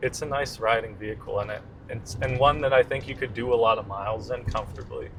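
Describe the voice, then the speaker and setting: Very fast speech from a man at a medium pitch, his intonation fairly even. Noticeable background noise is present. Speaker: car reviewer. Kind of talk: casual chat.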